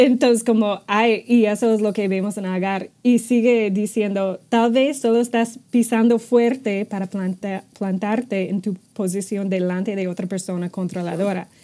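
In an English accent, a woman speaks at a fairly slow pace with a fairly high pitch, a dark, mellow tone and fairly even intonation. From United States. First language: English (speaking Spanish). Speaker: ministry staff member; podcast co-host. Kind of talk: casual chat. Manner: halting. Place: office. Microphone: earbuds.

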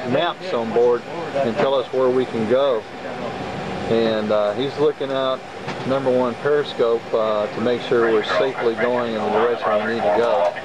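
Loud background noise surrounds a man speaking at a moderate pace. The sound is dry with no echo, and his pitch variation is ordinary. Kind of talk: tour narration to kids. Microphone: old recording.

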